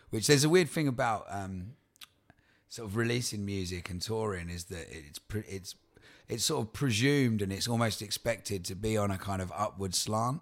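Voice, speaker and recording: A man speaks with an Essex accent at a moderate pace and fairly low pitch, with ordinary pitch variation. The recording is very clean, with a silent background. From Essex, England. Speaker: touring folk singer-songwriter. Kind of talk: casual interview chat.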